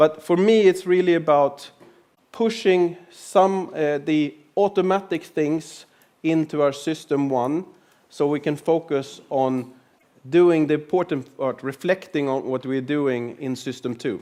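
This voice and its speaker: A man talks at a fairly slow pace with a fairly high pitch. His tone is dark and mellow, and his pitch varies in an ordinary way. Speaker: lean and agile consultant. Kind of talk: conference talk.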